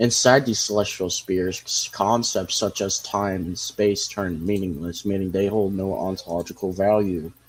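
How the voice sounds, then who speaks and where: A man with a plain, everyday voice, fairly low in pitch, at a moderate pace. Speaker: streamer. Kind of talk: casual livestream commentary.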